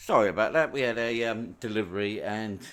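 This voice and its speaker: In a British accent, a man with a fairly low pitch speaks at a fairly slow pace on a very clean recording with a silent background. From UK. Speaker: gaming streamer. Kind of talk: live stream commentary. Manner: halting, many fillers.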